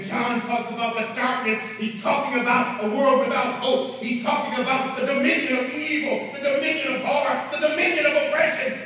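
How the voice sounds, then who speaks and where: A man with an extremely high pitch uses a raised, projected voice at a fairly quick pace, with hardly any pauses. Strong room echo surrounds his speech. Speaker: bishop, preacher. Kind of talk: sermon. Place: church. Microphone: camera far.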